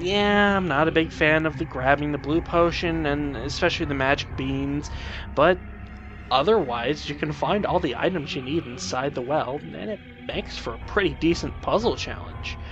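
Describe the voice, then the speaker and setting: Music plays in the background as a man talks at a moderate pace. His fairly high voice has lively intonation. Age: adult. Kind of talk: video game commentary. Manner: excited, upbeat.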